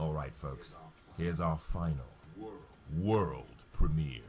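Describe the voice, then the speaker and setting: Using a put-on character voice with a very deep, low pitch, a man speaks at a fairly slow pace with ordinary pitch variation over clear background noise. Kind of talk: casual stream commentary. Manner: big showy announcer voice.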